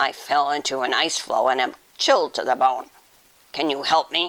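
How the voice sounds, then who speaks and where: Putting on a character voice, a man talks in a growling, raspy, fairly high-pitched tone at a moderate pace with fairly even intonation. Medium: read story.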